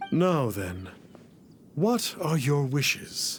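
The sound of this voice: In a put-on character voice, a man speaks very slowly at a fairly high pitch with big pitch swings.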